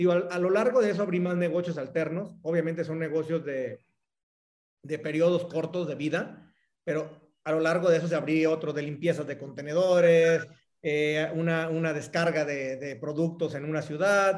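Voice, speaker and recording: Speaking at a moderate pace, a man with a Mexican accent uses a fairly high pitch and fairly even intonation. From Mexico, Jalisco (Cihuatlán). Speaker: entrepreneur. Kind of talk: casual interview.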